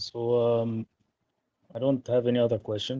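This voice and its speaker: Marked by a non-native accent, a man speaks in a medium pitch with a dark, mellow tone. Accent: noticeable foreign. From Egypt. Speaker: caller. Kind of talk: call-in conversation.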